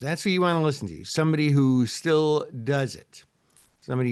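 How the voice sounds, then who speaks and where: Against a quiet background, a man with a Midwestern accent speaks fairly quickly at a fairly high pitch. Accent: Midwest US. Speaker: options trading educator. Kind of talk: live webinar tutorial. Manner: casual, chatty.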